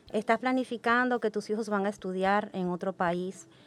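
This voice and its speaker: With music playing in the background, a woman speaks at a moderate pace in a medium pitch with fairly even intonation. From Dominican Republic. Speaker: English education coordinator. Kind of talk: podcast panel discussion.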